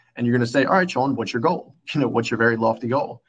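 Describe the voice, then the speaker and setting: With a normal speaking voice, a man talks at medium pitch with ordinary pitch variation. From US Northeast, Philadelphia. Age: 20s. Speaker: entrepreneur. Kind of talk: interview.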